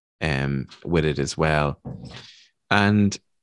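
A man with an Irish accent speaks with ordinary pitch variation. The recording is very clean, with a silent background and a dry, close sound with no echo. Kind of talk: interview conversation.

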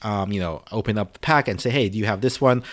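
A man with an American accent has an unremarkable speaking voice, fairly low in pitch, with ordinary pitch variation. The recording is very clean, with a silent background. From US, Filipino American family. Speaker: podcast host. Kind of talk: solo podcast monologue. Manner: casual, many filler words.

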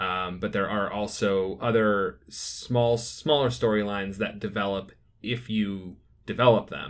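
At a fairly slow pace, a man speaks in a plain, everyday voice, fairly low in pitch with ordinary pitch variation. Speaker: podcast host. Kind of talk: casual chat.

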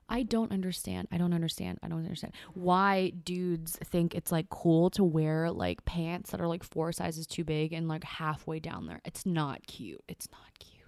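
A woman's animated, fairly low-pitched voice at a moderate pace, with big swings in loudness and hardly any pauses. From California. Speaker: guest, part-time firefighter and perfume enthusiast. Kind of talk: casual chat. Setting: studio.

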